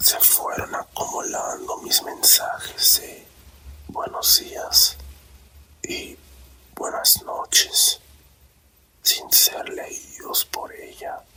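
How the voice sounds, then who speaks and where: Whispering at a very slow pace with long, frequent pauses, a man is heard over noticeable background noise. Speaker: ASMR storyteller. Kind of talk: sleep story. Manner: whispered.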